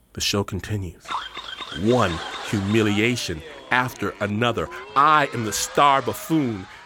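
With lively intonation, a man with an American accent speaks over noticeable background noise. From US Midwest, Detroit. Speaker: radio host. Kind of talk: storytelling. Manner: animated.

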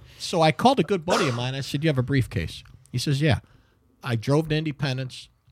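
At a very fast pace, a man with an American accent talks in a fairly high, somewhat breathy voice. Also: ordinary pitch variation, very clean recording, silent background. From Cleveland, Ohio (Garfield Heights). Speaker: former actor, voiceover actor and model. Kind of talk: casual chat with storytelling.

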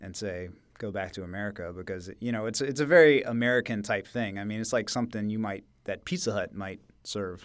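A man speaks in a plain, everyday voice. His pitch sits fairly low, and he talks at a fairly quick pace. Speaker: podcast co-host. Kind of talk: casual chat. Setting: studio.

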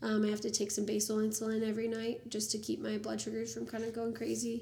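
In an American accent, a woman talks at a moderate pace, with audible room echo around her. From Ohio, US. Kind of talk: casual interview chat.

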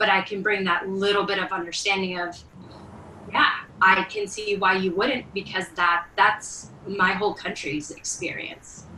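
A woman speaks at medium pitch and a fairly slow pace. Noticeable background noise is present. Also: fairly even intonation. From Venezuela. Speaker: church member. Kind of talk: testimony. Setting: video call.

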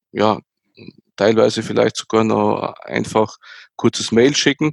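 A man speaks in a plain, everyday voice at a medium pitch, with fairly even intonation, on a very clean recording with a silent background and a dry, close sound free of echo. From Austria, near Graz. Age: 40s. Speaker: tech executive. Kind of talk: interview.

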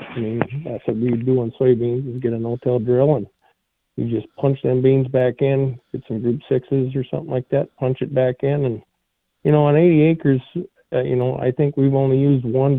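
This man has an unremarkable speaking voice, medium pitch and an American accent, talking at a moderate pace with fairly even intonation. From Minnesota. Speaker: tile contractor, caller. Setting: phone call.

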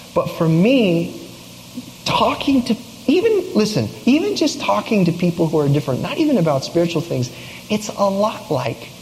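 Through noticeable background noise, a man speaks at a moderate pace, his pitch swinging very widely. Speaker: youth pastor. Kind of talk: sermon. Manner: quiet.

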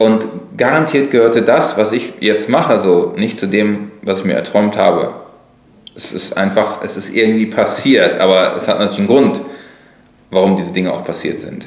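Amid noticeable background noise and audible room echo, a man speaks at a moderate pace. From Lower Rhine, western Germany. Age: 40s. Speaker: blogger and author. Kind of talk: casual chat. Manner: hesitant, many fillers.

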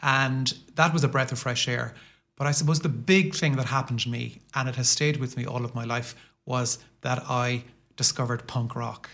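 With a Limerick accent, a man speaks in a bright, sharp tone at medium pitch. His pace is moderate and his intonation fairly even. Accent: Limerick Irish. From Ireland, Limerick city. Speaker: professor. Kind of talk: casual interview. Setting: studio.

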